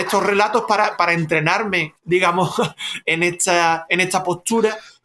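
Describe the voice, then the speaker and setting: This man speaks at a moderate pace. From Cádiz, Andalusia, Spain. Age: 40s. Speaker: author. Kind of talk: interview. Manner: halting, with many repetitions.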